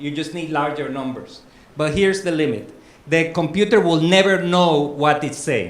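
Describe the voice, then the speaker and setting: A man with a Spanish accent at a fairly high pitch and moderate pace, with ordinary pitch variation and audible room echo. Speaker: academic conference speaker. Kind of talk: lecture. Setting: conference room with audience, also on Zoom.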